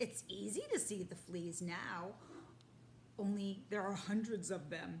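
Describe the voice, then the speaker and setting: This is a woman using a put-on character voice. Clear background noise runs under her. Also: medium pitch for a woman, fairly slow pace. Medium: read story.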